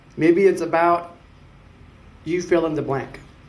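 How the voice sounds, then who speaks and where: In a room with audible echo, a man speaks at a moderate pace with a fairly high pitch. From Mexico, then Richmond, California from age 8. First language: Spanish. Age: 30s. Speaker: city council candidate. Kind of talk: public speech. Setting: symposium audience.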